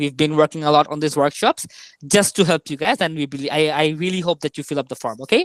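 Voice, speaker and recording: A woman speaks at a very fast pace in a very deep, low pitch with ordinary pitch variation. The sound is dry and close, with no echo. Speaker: maths tutor. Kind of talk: online tutorial workshop.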